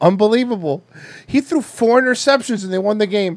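In an American accent, a man talks at a moderate pace with a high pitch. His tone is animated and his intonation lively. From Florida. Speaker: podcast host. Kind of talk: casual comedic banter. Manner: profane, animated.

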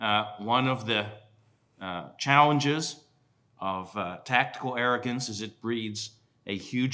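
Speaking at a fairly slow pace, a man with an American accent has a bright, sharp tone. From western Pennsylvania. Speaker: museum curator and historian. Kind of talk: panel talk. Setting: stage with live audience. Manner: frequent uh fillers.

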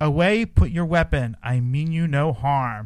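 At a moderate pace, a man puts on a character voice with a fairly high pitch.

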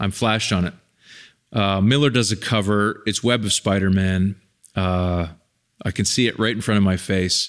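In a very clean recording with a silent background, a man with a Canadian accent and a fairly low pitch speaks with fairly even intonation, an unremarkable speaking voice. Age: 50s. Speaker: documentary filmmaker. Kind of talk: casual chat.

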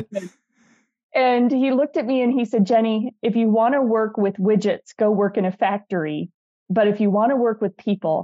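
In a normal speaking voice, the speaker keeps a moderate pace and ordinary pitch variation. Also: woman. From US Midwest, northern Wisconsin. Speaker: leadership coach and author. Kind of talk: interview conversation.

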